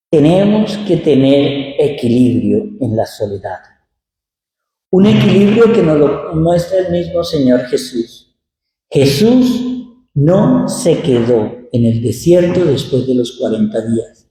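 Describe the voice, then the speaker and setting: With very wide pitch swings, a man with a fairly high pitch and a dark, mellow, somewhat breathy tone speaks at a very slow pace in a room with audible echo. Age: 60s. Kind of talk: sermon. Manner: conversational.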